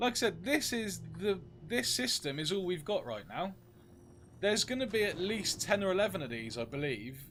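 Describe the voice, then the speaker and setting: Over background music, a man with a British accent speaks at a high pitch with very wide swings. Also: moderate pace. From UK. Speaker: game streamer. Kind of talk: live gameplay stream chat.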